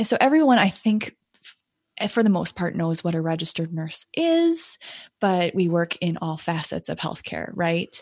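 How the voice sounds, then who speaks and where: With an American accent, a woman in a plain, everyday voice speaks at a medium pitch and a fairly slow pace, her intonation lively and the sound dry and close with no echo. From United States. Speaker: nurse practitioner and podcast host. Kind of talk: casual interview.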